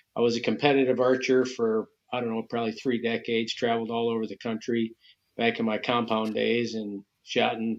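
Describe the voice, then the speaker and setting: With an American accent, a man speaks at a moderate pace and medium pitch. His intonation is monotone and flat. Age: 60s. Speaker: bow hunting association president. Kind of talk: podcast interview.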